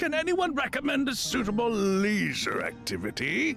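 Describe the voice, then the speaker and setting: Clear background music under a put-on character voice, at a moderate pace. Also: man. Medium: game stream. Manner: lofty, dry.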